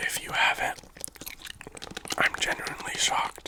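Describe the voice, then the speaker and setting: A man whispers at a fairly slow pace. There is noticeable background noise. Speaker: ASMR creator. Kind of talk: casual talk to camera. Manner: casual, chatty, conversational.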